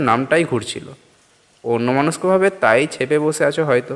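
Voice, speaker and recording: This man has a normal speaking voice. His pitch variation is ordinary. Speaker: audio story narrator. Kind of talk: horror story narration, first-person reading.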